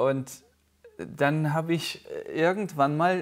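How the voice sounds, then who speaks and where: The man's pitch varies in an ordinary way, and the background is quiet. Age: 30s. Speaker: pastor. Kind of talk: casual chat. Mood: calm, personal, reflective. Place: studio. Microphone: lapel.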